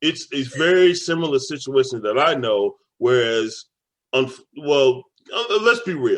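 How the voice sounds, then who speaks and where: With an American accent, a man at a fairly high pitch speaks at a fairly slow pace with very wide pitch swings. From Dallas, Texas. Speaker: podcast co-host. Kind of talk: casual chat.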